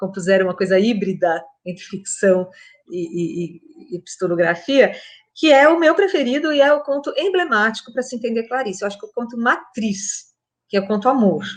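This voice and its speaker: Speaking at a moderate pace, a woman with an unremarkable speaking voice and a fairly high pitch uses lively intonation. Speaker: literature professor. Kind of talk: talk on literature.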